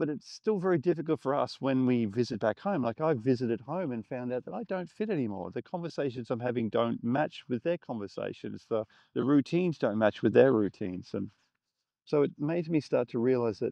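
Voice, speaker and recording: Medium-pitched man with an Australian accent, fairly quick and lively in intonation. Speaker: filmmaker. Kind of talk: reflective talk to camera. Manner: casual, conversational.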